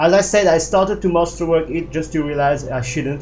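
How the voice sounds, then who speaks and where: A man with a fairly high pitch and ordinary pitch variation speaks, with audible room echo. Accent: non-native. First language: not English. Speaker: gaming video creator. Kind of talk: gameplay build walkthrough. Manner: halting, many fillers.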